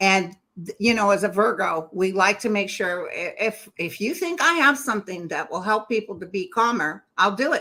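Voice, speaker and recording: A woman talks at a moderate pace with hardly any pauses, her tone bright and sharp. Her pitch is medium and her intonation lively. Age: 60s. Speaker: psychic medium YouTuber. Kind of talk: casual chat.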